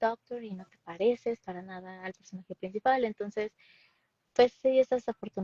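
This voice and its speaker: In a Mexican accent, a woman talks at a fairly quick pace with a fairly high pitch and a dark, mellow tone. Her intonation is fairly even, and the sound is dry and close with no echo. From Mexico City. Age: 20s. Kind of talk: interview.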